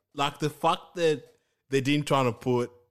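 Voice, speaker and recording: A man is speaking. He has a Kenyan accent. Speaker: podcast co-host. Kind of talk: casual chat.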